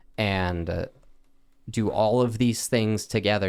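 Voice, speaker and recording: Speaking with a West Coast accent, a man talks at a fairly slow pace in a fairly low pitch with fairly even intonation, recorded very cleanly over a silent background. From US West, Oregon. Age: 20s. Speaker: cancer patient. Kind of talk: interview.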